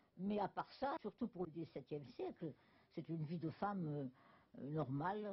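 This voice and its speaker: The woman's somewhat breathy voice carries lively intonation. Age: 80s+. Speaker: novelist. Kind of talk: interview answer.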